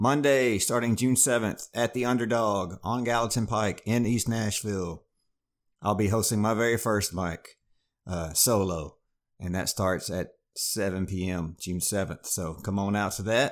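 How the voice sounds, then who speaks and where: A man with a normal speaking voice and a fairly low pitch speaks at a fairly slow pace with ordinary pitch variation. The recording is very clean, with a silent background. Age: 40s. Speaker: comedian and podcast host. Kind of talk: casual chat.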